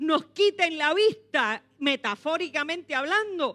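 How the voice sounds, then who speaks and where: A woman speaks in an extremely high, bright and sharp voice, raised and projected, with lively intonation and an animated tone. The sound is dry and close, with no echo. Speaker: pastor. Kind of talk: sermon.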